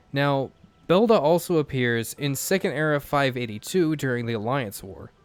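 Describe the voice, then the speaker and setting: Background music accompanies the recording. A man with ordinary pitch variation talks at a moderate pace. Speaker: gaming YouTuber. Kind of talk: let's play commentary. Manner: halting, repeated words.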